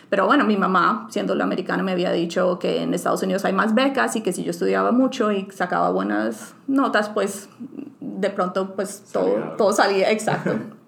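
Moderately paced female speech amid noticeable background noise. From Colombia, Bucaramanga. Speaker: scientist. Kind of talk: interview. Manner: hesitant, many fillers.

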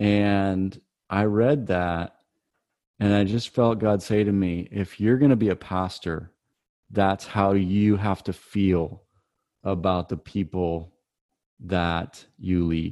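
Speaking at a very slow pace with long, frequent pauses, a man with an American accent keeps a fairly low pitch and fairly even intonation. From US Midwest, Michigan. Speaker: pastor. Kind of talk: casual interview.

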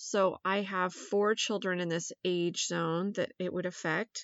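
A woman's an ordinary speaking voice, with ordinary pitch variation at a moderate pace. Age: 40s. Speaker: podcast host. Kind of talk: casual monologue.

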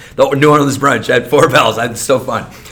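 A fairly high-voiced man talks at a medium tempo with normal pitch movement while background noise is clearly audible. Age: 40s. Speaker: restaurant industry veteran. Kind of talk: casual chat.

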